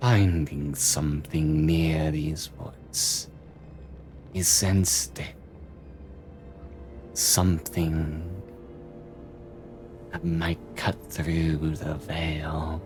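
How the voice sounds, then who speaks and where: A man's put-on character voice, very deep and low, with a menacing tone, long frequent pauses and clear background noise. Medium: actual play. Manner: menacing, cryptic, savoring.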